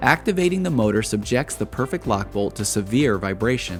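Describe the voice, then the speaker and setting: Music in the background under a man at a medium pitch, with lively intonation and a fairly quick pace. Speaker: documentary-style narrator. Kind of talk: corporate / industrial documentary narration.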